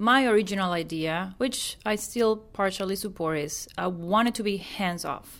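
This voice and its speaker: A woman speaks at medium pitch and a moderate pace, with a Venezuelan accent. The recording is very clean, with a silent background. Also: ordinary pitch variation. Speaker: real estate investor. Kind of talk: casual chat.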